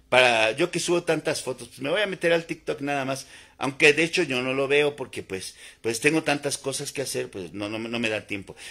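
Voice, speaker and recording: A man's bright, sharp tone at a fairly quick pace, with ordinary pitch variation, big swings in loudness and a quiet background. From Mexico, Puebla. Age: 50s. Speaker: naturopathic doctor; naturopathic health vlogger. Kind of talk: live stream monologue. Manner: repetitive, informal. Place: home room. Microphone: phone near.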